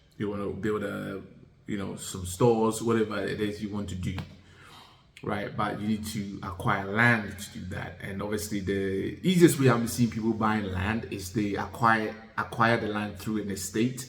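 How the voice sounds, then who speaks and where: A man's fairly low-pitched voice with fairly even intonation and audible room echo. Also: moderate pace. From Ghana and UK (moved to UK at ten). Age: 40s. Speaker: vlogger. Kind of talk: casual talk-to-camera advice. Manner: hesitant, many fillers.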